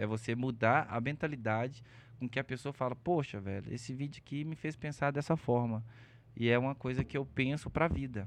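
In a quiet background, a man with an unremarkable speaking voice talks at a moderate pace, his medium pitch showing ordinary pitch variation. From Belo Horizonte, Minas Gerais, Brazil. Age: 30s. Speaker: content creator. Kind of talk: casual chat.

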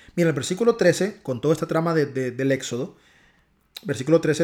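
Over a very clean recording with a silent background, a man with a strong Honduran accent speaks with ordinary pitch variation. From Honduras. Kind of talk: devotional talk. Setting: home recording, not studio.

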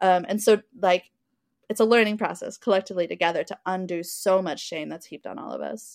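Vocal fry at a fairly quick pace, ordinary pitch variation and big swings in loudness, in a dry, close sound with no echo. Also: woman, medium pitch for a woman. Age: 30s. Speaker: adult film producer and community organizer. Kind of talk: casual chat.

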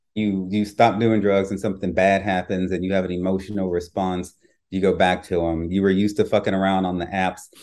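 Against a quiet background, a man speaks at a moderate pace in a very deep, low voice, with monotone, flat intonation and a slight Louisiana accent. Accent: slight Louisiana twang. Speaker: author and podcaster. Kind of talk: interview conversation.

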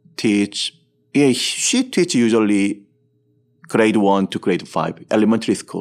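This man, with a Korean accent, talks at a medium pitch with ordinary pitch variation. He moves at a fairly slow pace, leaving long, frequent pauses. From Seoul, South Korea. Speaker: entrepreneur, company executive. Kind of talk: interview. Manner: halting.

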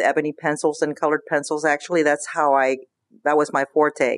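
A woman speaks with a very deep, low pitch. The sound is dry and close with no echo, over a quiet background. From Cuba, raised in Pinellas County, Florida. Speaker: artist and gallery owner. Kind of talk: interview. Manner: halting.

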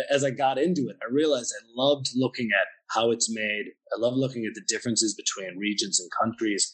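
This man talks at a fairly quick pace in a Pennsylvania accent. His pitch varies in an ordinary way, while his loudness swings widely. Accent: American (Pennsylvania). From US, Pennsylvania. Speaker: wine bar owner. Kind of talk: interview.

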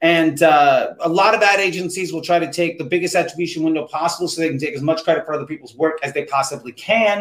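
With hardly any pauses, a man talks at a fairly quick pace in a high voice. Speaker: livestream host, ad consultant. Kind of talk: casual expert advice. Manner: fast talker, energetic.

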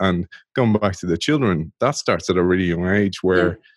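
A man's very deep, low voice in an Irish accent, with fairly even intonation. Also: quiet background. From Ireland. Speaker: former pro rugby player, innovation podcast host. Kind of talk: interview conversation.

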